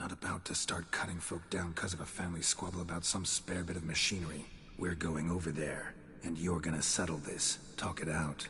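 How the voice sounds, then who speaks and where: A put-on character voice from a man, very deep and low in pitch, at a fairly quick pace, over clear background noise. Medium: video game. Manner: terse, dry, clipped sentences.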